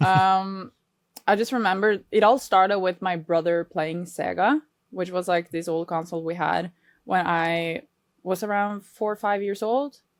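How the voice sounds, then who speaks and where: With a Norwegian accent, a woman talks at medium pitch. She keeps a moderate pace, with ordinary pitch variation. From Norway. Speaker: reaction video creator. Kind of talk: interview.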